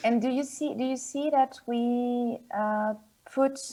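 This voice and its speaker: Speaking very slowly in a French accent, a woman has a high pitch and a dark, mellow tone with fairly even intonation. The recording is very clean, with a silent background. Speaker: board game publisher. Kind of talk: interview. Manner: halting.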